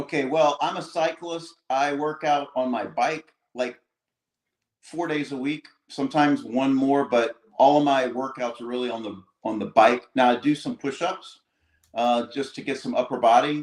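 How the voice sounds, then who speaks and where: A man speaks in a plain, everyday voice, fairly high-pitched for a man, with fairly even intonation. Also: moderate pace. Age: 60s. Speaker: cyclist and livestream guest. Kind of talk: casual chat. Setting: livestream.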